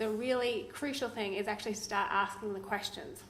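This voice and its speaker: With an Australian accent, a woman talks at a fairly high pitch with ordinary pitch variation, and audible room echo surrounds her voice. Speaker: legal researcher. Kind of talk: conference presentation.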